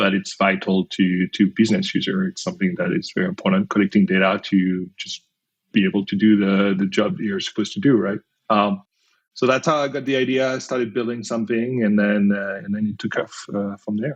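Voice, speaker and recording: Here a man speaks with a French accent at a fairly low pitch. His pace is fairly quick, with ordinary pitch variation. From France. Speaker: company founder and CEO. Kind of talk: podcast interview. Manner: hesitant, many fillers.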